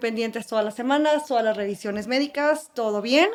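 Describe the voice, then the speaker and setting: A woman with an ordinary speaking voice talks at a moderate pace in a fairly high pitch, keeping her intonation fairly even. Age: 30s. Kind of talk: personal testimony in podcast interview.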